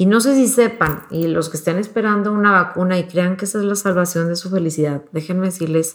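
A normal speaking voice from a woman, fairly low in pitch, fairly even in intonation, at a moderate pace, on a very clean recording with a silent background. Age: 40s. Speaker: mother and interview guest. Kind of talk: casual chat.

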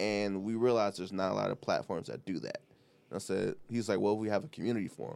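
A man with an American accent, fairly low in pitch, talking at a very fast pace. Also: ordinary pitch variation. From Detroit East Side, US. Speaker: mechanical engineer, guest. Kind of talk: casual interview chat. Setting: studio. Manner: relaxed, laughs.

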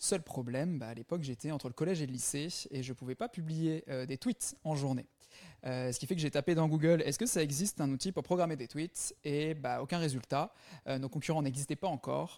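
Fairly quick and fairly high-pitched, this man's voice has a dark, mellow tone and ordinary pitch variation. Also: dry, close sound with no echo. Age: 20s. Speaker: startup founder. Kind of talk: interview. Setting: remote interview.

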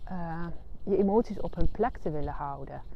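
This woman's voice sits fairly low in pitch and moves with ordinary variation. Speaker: therapist and coach podcast host. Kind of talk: solo monologue, spiritual self-help talk. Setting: outdoors, walking on the heath. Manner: hesitant, with fillers.

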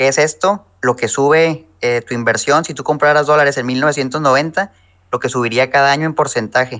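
A man speaks in a fairly high voice with a bright, sharp tone and fairly even intonation. His moderate pace comes through on a very clean recording with a silent background. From Mexico, Chihuahua. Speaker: personal finance YouTuber. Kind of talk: interview.

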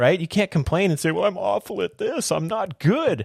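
A man with vocal fry and an energetic, enthusiastic tone at a fairly quick pace, in a dry, close sound with no echo. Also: very clean recording, silent background. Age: 40s. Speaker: podcast host. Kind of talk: solo motivational monologue.

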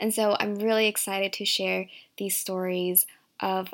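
Recorded very cleanly over a silent background, an unremarkable speaking voice with an American accent moves at a fairly slow pace with ordinary pitch variation. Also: woman. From Virginia, US (from Shanghai until 8). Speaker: podcast host and career coach. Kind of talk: solo podcast monologue.

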